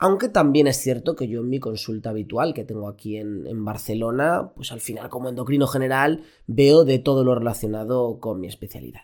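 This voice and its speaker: In a plain, everyday voice of medium pitch, a man talks at a fairly quick pace with hardly any pauses, ordinary pitch variation and big swings in loudness. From Spain, Elche (Valencian region). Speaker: doctor, endocrinologist, podcast host. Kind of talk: solo podcast monologue. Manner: casual, with fillers and repetitions.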